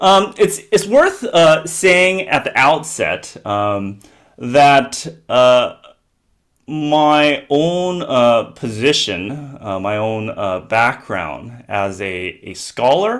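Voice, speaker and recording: An American-accented man with a fairly high pitch speaks very slowly, with very wide pitch swings and big swings in loudness. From US, Southern California. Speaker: theology professor. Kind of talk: lecture. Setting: video call. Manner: halting, many fillers.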